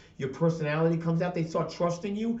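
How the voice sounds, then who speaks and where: Very fast and animated, a man speaks in a New York accent. Audible room echo surrounds the voice. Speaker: podcast network owner. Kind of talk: casual interview chat.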